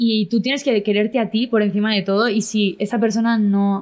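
The speaker has a plain, everyday voice. The pace is fairly quick. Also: woman. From Spain. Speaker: content creator and singer. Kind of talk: casual interview.

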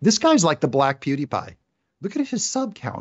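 A man talks at a moderate pace with a normal speaking voice. His intonation is lively. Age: 50s. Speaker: video game creator. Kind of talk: casual chat.

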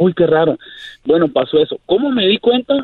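A man is speaking. His pace is moderate. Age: 40s. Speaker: caller. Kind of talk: casual chat. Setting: phone call.

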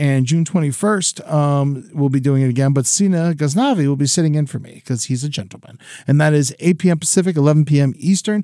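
Talking at a fairly quick pace with hardly any pauses, an American-accented man has a dark, mellow tone and ordinary pitch variation. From Florida. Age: 40s. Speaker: comedian. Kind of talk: casual chat.

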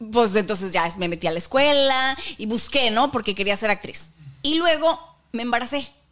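A woman with a plain, everyday voice speaks at a moderate pace, her fairly high pitch moving with lively intonation. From northern Mexico. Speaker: podcast co-host. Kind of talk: casual chat.

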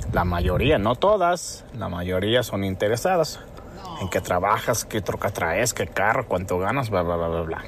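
Noticeable background noise sits behind a man speaking at a fairly slow pace. His voice is fairly low, with ordinary pitch variation. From Mexico, Acapulco. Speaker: caller, small business owner. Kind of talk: phone call-in. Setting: phone call.

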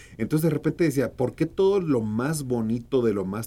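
With a northern Mexican accent, a man speaks in a dark, mellow tone with lively intonation. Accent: northern Mexican (Sonoran), kept. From Mexico, Sonora (Hermosillo). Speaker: actor and producer. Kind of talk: casual interview. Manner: animated.

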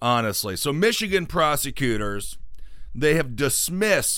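An animated tone comes through at a fairly slow pace on a very clean recording with a silent background. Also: man. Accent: American. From Wisconsin. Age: 30s. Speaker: podcast host. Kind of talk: casual chat about news and politics.

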